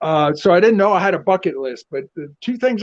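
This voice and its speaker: A man with a South Carolina accent talks at a fairly quick pace over a quiet background. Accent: Southern US (South Carolina). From US South. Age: 70s. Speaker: professional wrestling manager/performer. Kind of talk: interview.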